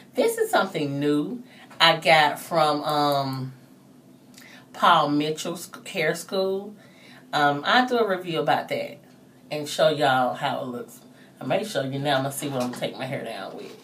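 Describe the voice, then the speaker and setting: In a recording with audible room echo, a woman with a very deep, low pitch speaks at a moderate pace with lively intonation, big swings in loudness, and long, frequent pauses. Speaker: hair vlogger. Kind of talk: tutorial. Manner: trying to speak loudly; casual, hesitant with fillers.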